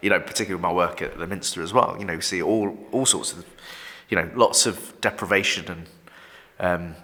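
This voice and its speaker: Talking at a fairly quick pace in a Yorkshire accent, a man shows big swings in loudness. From northern England, York. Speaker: vicar. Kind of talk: casual chat. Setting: office recording. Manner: halting, many repetitions.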